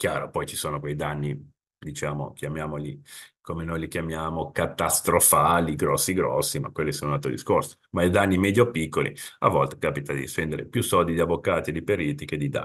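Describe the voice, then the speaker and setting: With a Genoese accent, a man talks at a fairly quick pace in a very deep, low pitch. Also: ordinary pitch variation, quiet background. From Italy, Genoa; Italy. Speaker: insurance consultant; presenter. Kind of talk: webinar presentation. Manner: conversational. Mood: informal, explanatory. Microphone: webcam.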